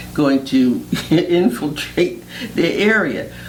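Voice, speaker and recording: Noticeable background noise fills the clip, along with audible room echo. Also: woman. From Philadelphia, North Philadelphia. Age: 70s. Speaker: retired teacher. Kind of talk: oral history interview.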